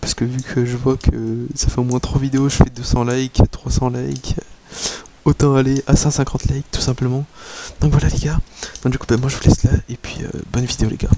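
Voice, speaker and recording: Soft-spoken and monotone, a man talks at a fairly quick pace with long, frequent pauses amid noticeable background noise. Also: medium pitch for a man. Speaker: gaming youtuber. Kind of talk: video intro to viewers.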